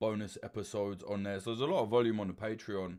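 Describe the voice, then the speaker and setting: A man's fairly low voice in a London accent, at a very fast pace. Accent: British English, London. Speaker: documentary journalist and channel host. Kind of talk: livestream chat answering superchats. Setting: livestream. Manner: loud; animated.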